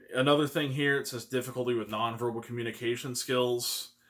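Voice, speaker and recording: A man with an American accent, medium pitch and fairly even intonation at a moderate pace. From Kansas City area, US Midwest. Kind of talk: personal video monologue. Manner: halting, repeats words.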